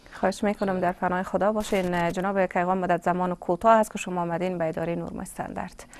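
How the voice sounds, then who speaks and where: Speaking in a flat monotone at medium pitch, a woman races along at a very fast pace with hardly any pauses. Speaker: TV presenter; TV show host. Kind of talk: live TV interview. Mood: polite, formal. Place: studio.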